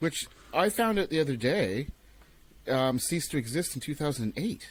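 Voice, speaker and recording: Somewhat breathy and fairly high-pitched, a man speaks at a moderate pace. His pitch swings very widely. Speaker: podcast host. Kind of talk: casual chat.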